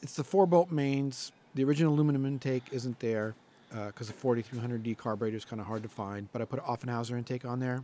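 At a very fast pace, a man speaks with a dark, mellow tone, in a dry sound with no echo and light background noise. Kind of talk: casual walkaround description. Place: garage. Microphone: phone near.

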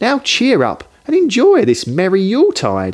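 A put-on character voice from a man, high in pitch, with very wide pitch swings at a fairly slow pace

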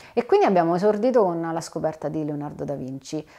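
Against a quiet background, a woman with a fairly low pitch speaks with lively intonation. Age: 40s. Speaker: theatre producer; guest. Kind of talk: interview. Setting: in the host's studio. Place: home room.

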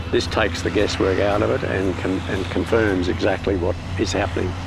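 Delivered at a fairly quick pace in a flat monotone, the speech has a dry, echo-free sound with noticeable background noise. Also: man. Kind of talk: interview answer. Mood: calm, matter-of-fact. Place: open country.

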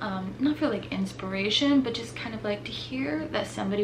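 Through noticeable background noise, a woman talks at a moderate pace. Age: 30s. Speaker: YouTuber. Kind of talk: casual vlog monologue. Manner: hesitant, filler-heavy. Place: home room.

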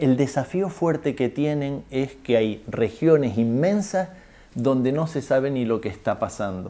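A man speaks at a fairly slow pace with lively intonation and a dark, mellow tone. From Canary Islands, Spain. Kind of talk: interview testimony. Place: home room.

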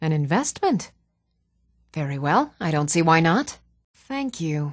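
With a very clean recording and silent background, a woman puts on a character voice at a slow pace, low in pitch and with big pitch swings.

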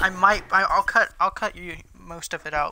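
A raised, projected, high-pitched man's voice with monotone, flat intonation. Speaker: gaming YouTuber. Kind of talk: casual gameplay chat. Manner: playful, laughs often.

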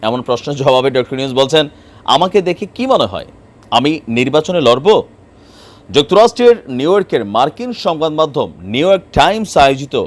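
A man speaks in a fairly high pitch, his voice making very wide pitch swings. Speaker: political commentator. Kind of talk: video commentary on news. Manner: conversational.

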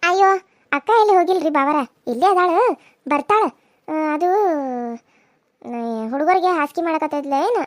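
A squeaky, cartoonish character voice from a woman, pitched extremely high. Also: moderate pace. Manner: meek, respectful.

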